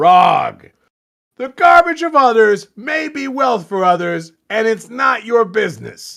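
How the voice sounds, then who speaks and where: Speaking fairly slowly in a put-on character voice, a man reaches an extremely high pitch and swings his pitch very widely. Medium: read story. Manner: curt, commanding.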